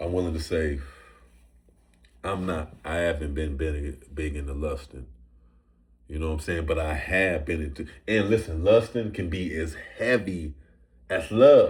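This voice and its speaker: A somewhat breathy man at a fairly slow pace, ordinary pitch variation, long and frequent pauses. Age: 40s. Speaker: rapper. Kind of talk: casual chat. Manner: halting.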